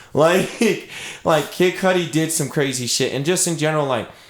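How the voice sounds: A man speaks at a moderate pace, his fairly high pitch showing ordinary variation.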